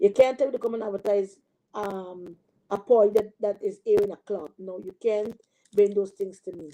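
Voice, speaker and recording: Here a woman talks at a medium pitch and a moderate pace. Her intonation is fairly even. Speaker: online preacher. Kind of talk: live stream sermon and chat. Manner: hesitant, many fillers; casual.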